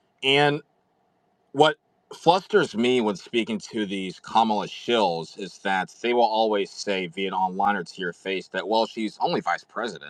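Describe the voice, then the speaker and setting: Man with an American accent and an ordinary speaking voice, fairly low-pitched, at a fairly slow pace with lively intonation. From Texas. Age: young. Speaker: caller. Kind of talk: call-in question.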